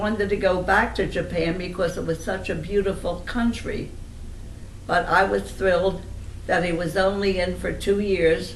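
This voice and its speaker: Over noticeable background noise, a woman speaks at a moderate pace and medium pitch in a monotone, flat intonation. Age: old. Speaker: family elder recalling memories. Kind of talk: interview answer.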